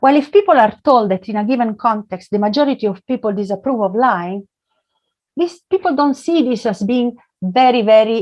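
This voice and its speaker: At a moderate pace, a woman with an unremarkable speaking voice talks at a fairly high pitch with lively intonation. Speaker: economics professor. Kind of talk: academic talk.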